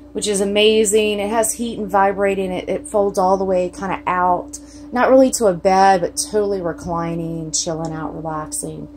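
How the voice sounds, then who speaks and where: A woman with a Southern US accent, medium-pitched, at a moderate pace with hardly any pauses, over light background noise. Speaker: RV owner. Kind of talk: casual talk to camera. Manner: casual, chatty. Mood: cheerful, excited. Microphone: phone near.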